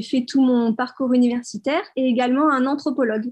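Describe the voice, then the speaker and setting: A woman speaks at a high pitch and a moderate pace. Her intonation is fairly even, and the background is quiet. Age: 20s. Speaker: marine biology student and entrepreneur. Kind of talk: interview.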